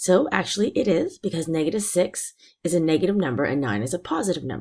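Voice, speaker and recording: A woman's fairly low-pitched voice with vocal fry, very wide pitch swings, and a dark, mellow tone. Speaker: math teacher. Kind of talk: tutorial.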